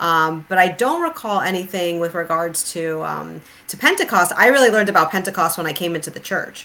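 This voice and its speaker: In an ordinary speaking voice, the speaker moves at a fairly quick pace with hardly any pauses, ordinary pitch variation and big swings in loudness. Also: woman, fairly low pitch for a woman. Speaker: podcast host and author. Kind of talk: casual discussion on theology. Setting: online livestream. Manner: laughs often.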